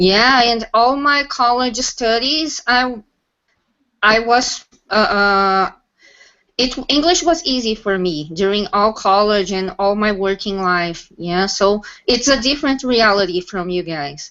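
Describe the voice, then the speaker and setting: A woman with a Portuguese accent, fairly high-pitched for a woman, with lively intonation at a very slow pace. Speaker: English teacher and software tester. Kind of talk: casual panel discussion on video call.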